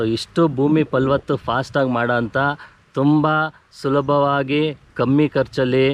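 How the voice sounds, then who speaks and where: This man's voice sits at a medium pitch with very even loudness. His intonation is monotone and flat. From Bengaluru, India. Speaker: natural farmer and farming trainer. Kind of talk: interview. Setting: outdoors on a farm.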